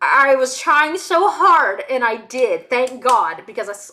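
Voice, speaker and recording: A woman's raised, projected voice, high in pitch and bright and sharp in tone, with very wide pitch swings. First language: Hebrew. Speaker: streamer. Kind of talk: casual chat. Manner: halting.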